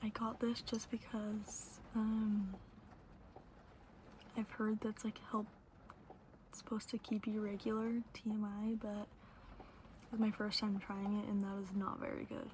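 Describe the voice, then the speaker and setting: Long, frequent pauses break up the fairly slow speech, with noticeable background noise behind it. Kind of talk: ASMR Q&A ramble to camera. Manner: whispered, soft-spoken.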